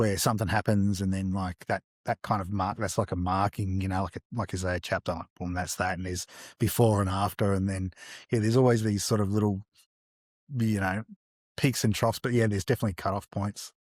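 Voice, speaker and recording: A man with an Australian accent talks at a fairly quick pace in a monotone, flat intonation. The sound is dry and close, with no echo. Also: fairly low pitch for a man, very clean recording, silent background. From Australia, Melbourne south-eastern suburbs. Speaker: artist. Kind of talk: interview. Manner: halting, lots of fillers.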